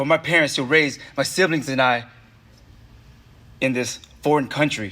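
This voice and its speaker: This man has a bright, sharp tone and a fairly high pitch. He speaks with an American accent. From US West Coast, Oakland. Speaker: poet. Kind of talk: spoken word speech.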